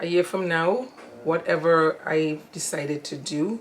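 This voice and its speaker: A woman speaks with a very deep, low pitch. Noticeable background noise runs under her voice. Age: 60s. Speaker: interviewee, mother of the channel owner. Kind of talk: casual interview. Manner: hesitant, many fillers. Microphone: audio issues.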